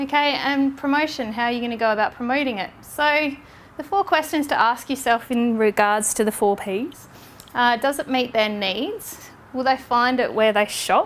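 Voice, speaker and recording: Ordinary pitch variation in an Australian accent. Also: woman, high pitch for a woman. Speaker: social media trainer. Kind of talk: lecture. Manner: fast.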